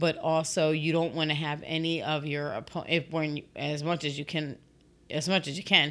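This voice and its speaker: The recording is very clean with a silent background. A woman with a very deep, low pitch speaks at a moderate pace in monotone, flat intonation. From Puerto Rican heritage. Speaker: podcast co-host. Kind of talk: casual chat.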